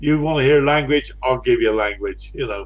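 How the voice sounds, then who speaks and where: Here a man speaks in a West Country accent. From West Country, England. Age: 60s. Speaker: live streamer. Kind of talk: casual chat. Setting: live stream.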